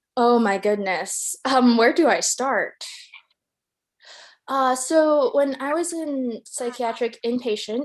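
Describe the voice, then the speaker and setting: Speaking with a Chinese accent, a woman talks at a very slow pace with ordinary pitch variation. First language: Mandarin Chinese. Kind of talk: casual chat; performance piece.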